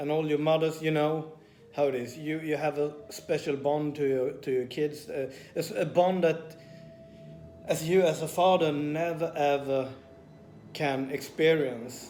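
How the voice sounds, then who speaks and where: A man with a Swedish accent, fairly high pitch and monotone, flat intonation at a fairly slow pace, with audible room echo and noticeable background noise. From Sweden. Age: 40s. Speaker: personal trainer and vlogger. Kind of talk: personal vlog confession. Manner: hesitant with many fillers.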